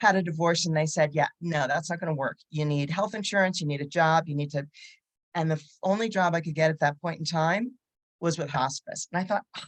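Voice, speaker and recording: This woman talks at a fairly quick pace in a plain, everyday voice, fairly low in pitch with ordinary pitch variation, and the sound is dry and close with no echo. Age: 60s. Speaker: psychotherapist. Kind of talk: panel discussion. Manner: casual, conversational.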